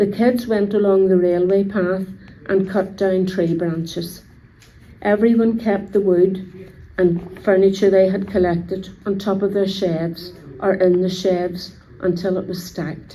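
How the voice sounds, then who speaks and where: With a Belfast accent, a woman speaks at a fairly slow pace and medium pitch in a monotone, flat intonation, with audible room echo. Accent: Belfast Northern Irish. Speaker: local resident sharing memories.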